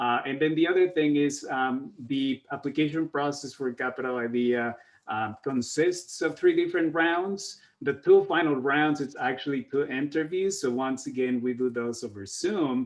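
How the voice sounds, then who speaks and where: A man talks at a moderate pace with hardly any pauses. His pitch is fairly high, with ordinary variation. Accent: non-native. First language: Spanish. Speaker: workforce program outreach staff. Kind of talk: panel discussion on video call. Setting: video call. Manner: halting, many fillers.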